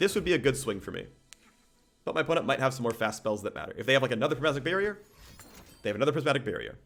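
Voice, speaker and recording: With music in the background, a man with a fairly high pitch and lively intonation speaks at a very fast pace, broken by long, frequent pauses. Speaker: game streamer. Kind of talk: live gameplay commentary. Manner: loud. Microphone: too close to the microphone.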